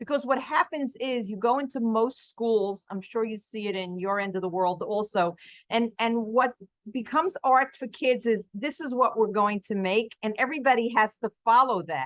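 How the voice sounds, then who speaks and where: Speaking at a moderate pace with a New York accent, a woman has an animated tone, a fairly high pitch, ordinary pitch variation, and a dry, close sound with no echo. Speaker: artist and art teacher. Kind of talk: podcast interview.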